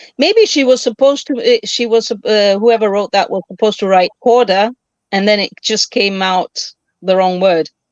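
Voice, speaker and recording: A woman's normal speaking voice, fairly high in pitch, with ordinary pitch variation, a moderate pace and a dry, close sound with no echo. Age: 60s. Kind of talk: casual chat.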